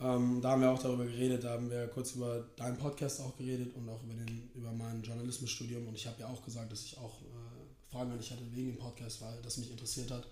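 Over noticeable background noise and audible room echo, a man speaks very fast at a medium pitch in a monotone, flat intonation, his loudness swinging widely. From New York, USA. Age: 20s. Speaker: basketball player and student. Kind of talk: casual chat.

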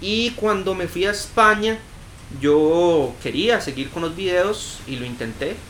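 With lively intonation, a man speaks at a fairly slow pace amid audible room echo. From Costa Rica, Cartago. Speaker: youtuber and filmmaker. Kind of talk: casual interview.

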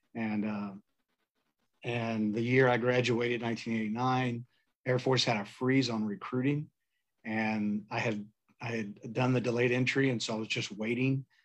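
A man speaks at a medium pitch with an American accent, at a fairly slow pace. His intonation is flat and monotone, broken by long, frequent pauses. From Texas, San Antonio. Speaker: coffee roaster and Navy veteran. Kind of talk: casual interview chat.

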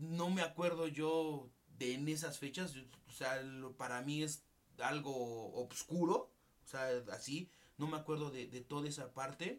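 With a Mexican accent, a man talks at a fairly slow pace in a fairly high pitch, his intonation fairly even. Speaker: podcast co-host. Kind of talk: casual chat. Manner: halting.

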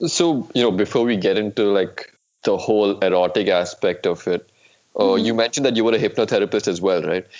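A man talks at a fairly quick clip in an unremarkable speaking voice. His pitch sits in the middle range. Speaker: podcast host. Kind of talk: interview.

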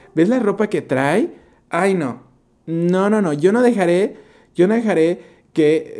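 A man with a Mexican accent at a fairly slow pace. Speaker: podcast host. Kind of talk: casual solo monologue.

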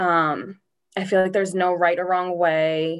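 With an American accent, a woman uses an ordinary speaking voice at a fairly low pitch and fairly even intonation. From Massachusetts (Norwood). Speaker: school counselor. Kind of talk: casual chat.

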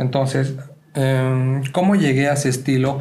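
Medium-pitched male voice at a moderate pace, with audible room echo and noticeable background noise. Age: 20s. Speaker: photographer and podcast co-host. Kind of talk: casual chat.

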